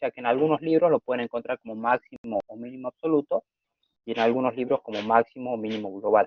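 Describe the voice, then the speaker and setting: Talking at a very fast pace, a man with a medium pitch shows ordinary pitch variation. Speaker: math teacher. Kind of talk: lecture. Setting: video call.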